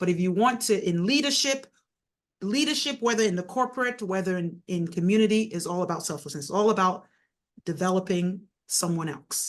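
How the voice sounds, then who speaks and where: With a Nigerian accent, a woman speaks at a fairly quick pace and medium pitch. Her intonation is lively, and the background is quiet. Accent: Nigerian accent, still noticeable. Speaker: mayor and author. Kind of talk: interview conversation.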